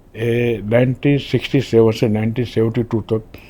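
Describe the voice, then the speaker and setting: A man talks in a dark, mellow tone at a medium pitch. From Gujarat, India (Rajkot). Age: 80s+. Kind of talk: interview, life story. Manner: halting, with fillers.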